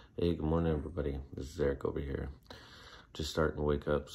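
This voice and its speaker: Using a put-on character voice, a man talks at a very fast pace in a raspy, very deep, low pitch with monotone, flat intonation. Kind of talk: casual vlog.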